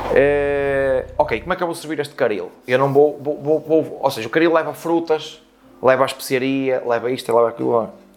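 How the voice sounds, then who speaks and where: With fairly even intonation and a fairly high pitch, a man speaks against noticeable background noise. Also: moderate pace. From Portugal, Porto. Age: 30s. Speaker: chef. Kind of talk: interview.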